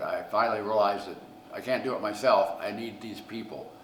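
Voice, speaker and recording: A man with a Midwestern US accent speaks in fairly even intonation. Audible room echo and noticeable background noise surround him. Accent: US Midwest. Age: 70s. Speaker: pizzeria owner. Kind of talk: interview storytelling.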